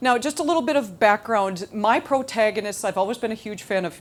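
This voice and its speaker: Over a very clean recording with a silent background, a woman speaks at a fairly quick pace with very wide pitch swings. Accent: Minnesotan. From Minnesota. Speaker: novelist. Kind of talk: speech to audience. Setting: stage with audience. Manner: halting.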